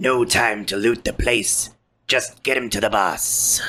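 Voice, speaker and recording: In a put-on character voice, someone speaks raspily at a fairly slow pace with a low-to-middle pitch. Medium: actual play. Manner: parroted, disjointed phrases in borrowed voices.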